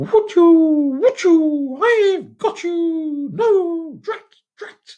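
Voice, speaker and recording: A squeaky put-on character voice sits at an extremely high pitch. It talks at a very slow pace. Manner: angry.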